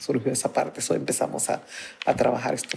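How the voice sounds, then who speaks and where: A woman over noticeable background noise. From Honduras, Garifuna community of the northern Caribbean coast. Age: 50s. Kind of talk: interview testimony. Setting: community center of a church.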